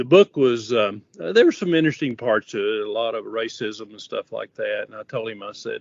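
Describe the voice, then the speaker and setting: A man with a West Texas accent talks at a fairly quick pace. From West Texas, Odessa. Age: 70s. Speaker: coatings inspector instructor. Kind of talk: interview. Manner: hesitant, many fillers.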